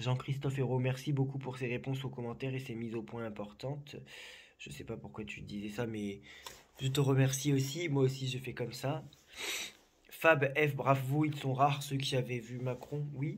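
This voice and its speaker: Over audible room echo, a man with a somewhat breathy, medium-pitched voice speaks with fairly even intonation and big swings in loudness. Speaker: psychic. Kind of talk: casual chat. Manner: slow; calm.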